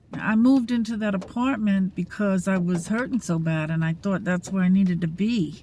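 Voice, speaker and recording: A woman's somewhat breathy voice, medium in pitch, with ordinary pitch variation. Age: 60s. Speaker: vlogger. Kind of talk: casual vlog monologue. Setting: at rural camp, near a single-wide. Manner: halting, many fillers.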